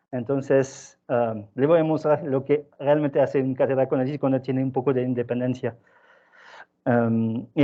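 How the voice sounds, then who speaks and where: A man speaks with a French accent at a moderate pace. His pitch is medium, with ordinary variation. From southern France. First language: French (speaking Spanish). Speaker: scientist. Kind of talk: seminar talk. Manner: halting.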